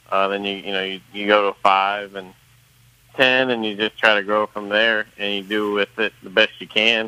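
A man speaks at a moderate pace in a fairly low pitch, his intonation flat and monotone while his loudness swings widely. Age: 30s. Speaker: racehorse trainer. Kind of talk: casual interview. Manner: halting, many fillers.

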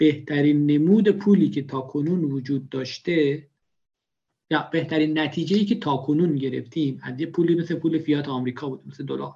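Speaking at a fairly quick pace, a man with a fairly high pitch has a dark, mellow tone that is somewhat breathy, with ordinary pitch variation. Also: big swings in loudness. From Iran, Khorasan (rural). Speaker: bitcoin enthusiast. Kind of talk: casual interview.

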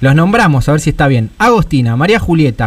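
A fairly high-pitched man at a fairly quick pace, his pitch swinging very widely. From Buenos Aires western suburbs, Argentina. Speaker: radio host. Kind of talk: radio interview. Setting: radio studio.

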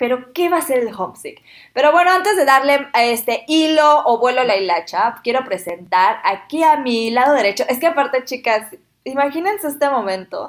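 This woman talks at a moderate pace in a high voice. Her pitch swings very widely. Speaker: podcast host, former au pair. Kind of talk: casual chat. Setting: shared microphones in one room.

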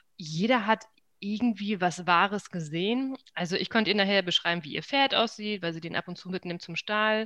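In a quiet background, a woman with a bright, sharp tone speaks at a moderate pace and a medium pitch with ordinary pitch variation. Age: 30s. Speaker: feng shui consultant. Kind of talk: interview conversation.

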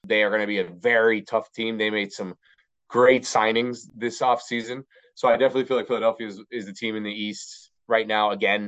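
A man with a plain, everyday voice and an American accent, at a medium pitch and a moderate pace. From Miami, Florida. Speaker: bilingual sports broadcaster and commentator. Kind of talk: casual interview.

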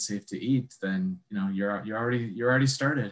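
Here a man speaks at a medium pitch. He has an Upper Midwest accent. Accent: Upper Midwest American. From Wisconsin, Sheboygan. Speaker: foraging instructor. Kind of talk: casual interview chat.

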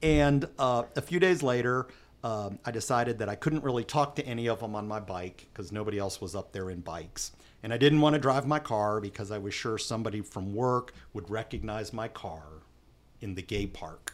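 At a moderate pace, a man talks with lively intonation at a medium pitch. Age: 50s. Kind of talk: interview. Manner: halting.

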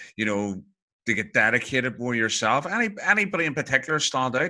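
A fairly quick-paced man with a Northern Irish accent and a bright, sharp tone. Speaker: podcast host. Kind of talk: interview.

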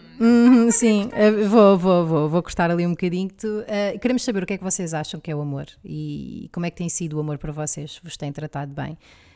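A woman at a fairly low pitch and fairly quick pace, with hardly any pauses, ordinary pitch variation and big swings in loudness, over music in the background. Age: 30s. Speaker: podcast co-host. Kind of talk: casual chat.

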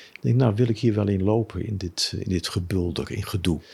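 At a moderate pace, a man talks in a fairly low, somewhat breathy voice with ordinary pitch variation. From Amsterdam, Netherlands. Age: 70s. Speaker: former businessman, Buddhist. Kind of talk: interview. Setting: his living room.

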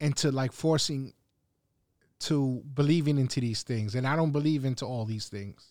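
Captured in a very clean recording with a silent background, a man talks at a moderate pace in a plain, everyday voice of medium pitch with ordinary pitch variation. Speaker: podcast co-host. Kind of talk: casual chat.

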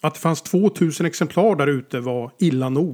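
A man with an unremarkable speaking voice speaks at a moderate pace, his fairly high pitch carried by lively intonation. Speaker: author. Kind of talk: scripted narration.

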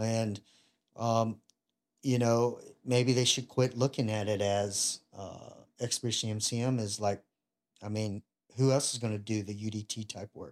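Long, frequent pauses break up a fairly slow, monotone, flat delivery. The recording is very clean, with a silent background. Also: man, medium pitch for a man. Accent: Southern US. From US South, Louisiana (Ruston). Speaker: retired Navy bomb disposal technician. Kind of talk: casual interview chat.

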